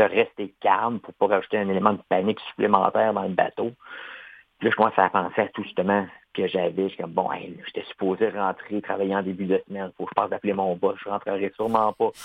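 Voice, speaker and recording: With a fairly low pitch and monotone, flat intonation, a man talks at a very fast pace, his loudness swinging widely. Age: 40s. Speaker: amputee athlete, triathlete. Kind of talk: interview.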